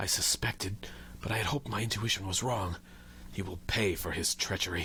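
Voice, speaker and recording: Using a raspy, put-on character voice at a fairly low pitch, a man talks at a fairly quick pace on a very clean recording with a silent background. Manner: grim, determined.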